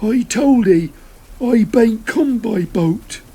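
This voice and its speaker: This put-on character voice is gruff and fairly high in pitch. Its pace is very slow. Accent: West Country. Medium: read story. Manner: gruff, halting.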